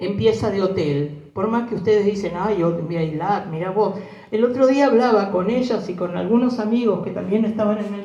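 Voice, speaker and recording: A woman with a Rioplatense accent talks at a moderate pace in a medium pitch, and the room echo is audible. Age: 70s. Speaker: war survivor. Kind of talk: testimony. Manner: animated.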